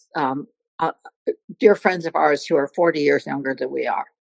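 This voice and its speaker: A woman speaks with vocal fry and ordinary pitch variation. The sound is dry and close, with no echo. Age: 80s+. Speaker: retired volunteer and former drug educator. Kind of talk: casual chat.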